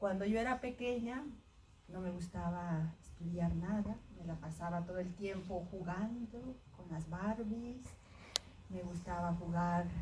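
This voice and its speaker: Long, frequent pauses break up speech with ordinary pitch variation, heard amid audible room echo and noticeable background noise. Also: woman, fairly low pitch for a woman, fairly slow pace. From Mexico. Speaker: astrophysicist. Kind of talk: personal talk to students.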